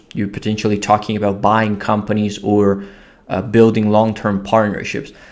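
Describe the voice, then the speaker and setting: This man has a fairly low pitch and speaks in an Italian accent. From Italy. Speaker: business founder. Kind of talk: business talk to camera. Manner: hesitant with fillers.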